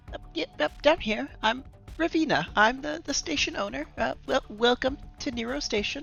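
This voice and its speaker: A high-pitched, put-on character voice with clear music in the background. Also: moderate pace. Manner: friendly, welcoming.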